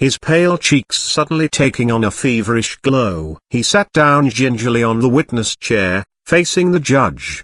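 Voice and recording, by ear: Quiet surroundings while reading aloud in a natural voice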